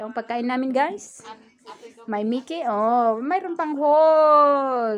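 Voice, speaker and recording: Her pitch high, a woman speaks at a very slow pace. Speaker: vlogger. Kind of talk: casual vlog chat. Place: home room. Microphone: phone near.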